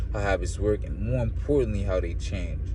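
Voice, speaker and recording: There is audible room echo and noticeable background noise. A man talks over it at a fairly quick pace. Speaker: book reader and commentator. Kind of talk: reading aloud with commentary. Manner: stumbling reading; casual, filler-heavy.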